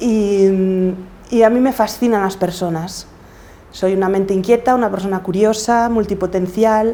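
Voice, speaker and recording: A woman's voice sits at a medium pitch, with a dark, mellow tone. Her intonation is fairly even and her pace moderate. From Galicia, Spain. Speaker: podcaster and coach. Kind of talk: interview.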